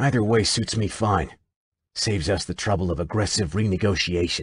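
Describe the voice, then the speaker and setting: Over a quiet background, a man growls in a put-on character voice at a fairly quick pace. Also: fairly low pitch for a man. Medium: read story. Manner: arrogant, harsh.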